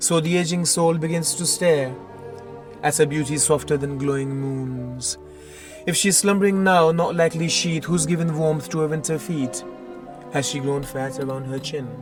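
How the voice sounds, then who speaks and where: Music plays in the background while a man talks at a fairly high pitch. He moves at a moderate pace with ordinary pitch variation. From Pakistan. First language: Urdu. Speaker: poet. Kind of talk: poetry reading.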